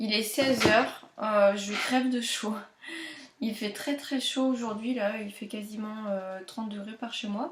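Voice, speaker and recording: A woman with a fairly high pitch speaks at a fairly slow pace with fairly even intonation, noticeable background noise around her. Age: 20s. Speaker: knitting podcaster. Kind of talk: casual chat. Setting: at home. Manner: hesitant, many fillers.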